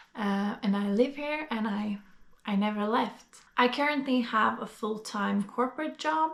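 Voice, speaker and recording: A woman with a Norwegian accent speaks in a fairly high pitch. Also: ordinary pitch variation, fairly slow pace. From Norway. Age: 20s. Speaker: vlogger. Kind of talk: casual vlog monologue. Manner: hesitant, many fillers.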